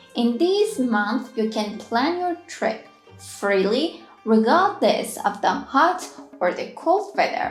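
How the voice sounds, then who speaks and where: Over music in the background, the voice moves at a very slow pace in an upbeat tone with very wide pitch swings. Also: woman, high pitch for a woman. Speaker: language teacher. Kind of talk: travel guide narration.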